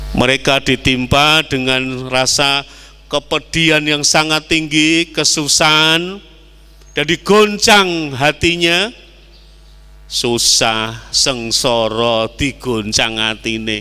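Speaking very slowly in a Javanese accent, a man with a fairly high pitch shows ordinary pitch variation. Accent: Javanese-accented Indonesian. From East Java, Indonesia. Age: 60s. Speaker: Islamic preacher; preacher. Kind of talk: sermon. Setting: mosque. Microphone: handheld.

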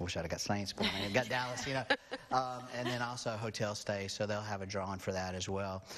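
Words come at a very fast pace with fairly even intonation against noticeable background noise. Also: man, fairly low pitch for a man. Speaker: guest. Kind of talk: interview answer. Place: studio. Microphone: lapel.

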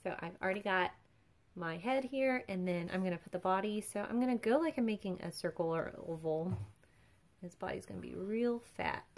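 With ordinary pitch variation, a woman speaks at a fairly quick pace. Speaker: drawing instructor. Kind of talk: tutorial. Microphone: phone near.

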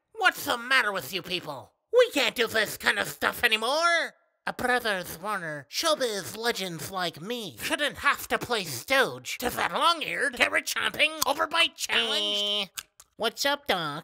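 This cartoonish character voice sits at a fairly high pitch and moves at a moderate pace. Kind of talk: cartoon voice impression, comic overacting. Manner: indignant, pompous, theatrical.

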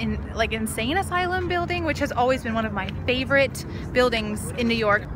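A woman speaks in a dry sound with no echo, against noticeable background noise. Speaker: vlogger. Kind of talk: casual vlog chat. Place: open country. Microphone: phone near.

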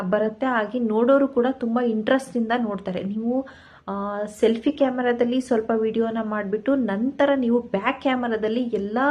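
Her pitch fairly high, a woman speaks in a flat monotone. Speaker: YouTube vlogger. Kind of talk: motivational tutorial to camera. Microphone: phone camera mic, no external mic.

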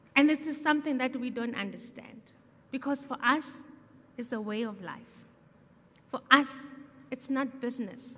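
Her voice is high-pitched, with a bright, sharp tone. The woman keeps a moderate pace and fairly even intonation. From South Africa. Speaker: entrepreneur; speaker. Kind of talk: public talk. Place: stage. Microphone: headset.

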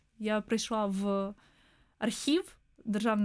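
The background stays quiet. A woman talks in a fairly high voice. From southern Ukraine, Mykolaiv; Ukraine. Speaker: historian, museum researcher; guest. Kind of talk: radio interview. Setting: studio. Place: studio. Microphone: studio mic.

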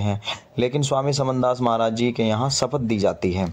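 The man talks at a fairly slow pace. His pitch shows ordinary variation. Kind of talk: walking tour commentary on religious history. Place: church. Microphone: phone near.

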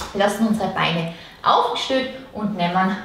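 Audible room echo surrounds the voice of a speaking woman. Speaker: fitness instructor. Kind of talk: workout instruction. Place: home room. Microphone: camera far.

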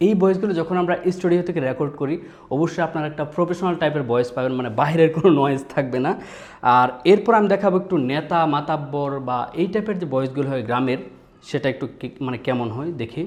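This man has a plain, everyday voice, pitched fairly high, with ordinary pitch variation. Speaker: voice actor. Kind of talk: voice demo talk to camera.

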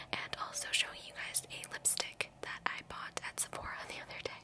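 Whispered, soft-spoken words from a woman against noticeable background noise. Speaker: ASMR vlogger. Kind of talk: casual vlog chat. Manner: soft ASMR whisper close to mic. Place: home room. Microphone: studio mic.

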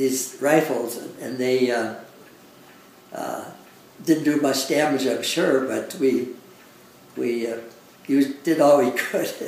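Over light background noise and audible room echo, a man talks at a very slow pace with fairly even intonation. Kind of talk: interview answer. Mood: reflective, occasional laughs. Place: home room.

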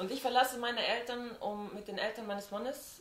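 The speech moves at a moderate pace with ordinary pitch variation. Light background noise and audible room echo are present. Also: woman. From Switzerland. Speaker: friend of the host. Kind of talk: casual chat. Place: home room. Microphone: camera far.

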